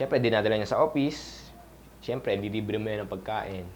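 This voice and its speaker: A man speaks at a very fast pace. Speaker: network marketing coach. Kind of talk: tutorial. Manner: halting.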